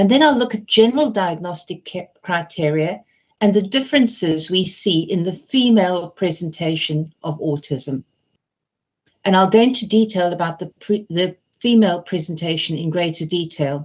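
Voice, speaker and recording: Lively in intonation, a woman with a fairly low pitch talks at a moderate pace. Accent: British. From Britain. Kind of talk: webinar lecture.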